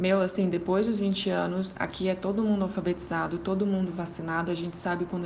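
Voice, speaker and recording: A woman at medium pitch rattles along at a very fast pace in a monotone, flat way. Noticeable background noise and audible room echo surround her. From Goiânia, Brazil. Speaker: psychology graduate. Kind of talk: recorded advice commentary.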